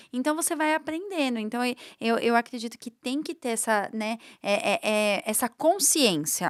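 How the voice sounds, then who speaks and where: Her intonation lively, a woman speaks at a moderate pace in a high pitch on a very clean recording with a silent background. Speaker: social media influencer. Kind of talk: podcast interview.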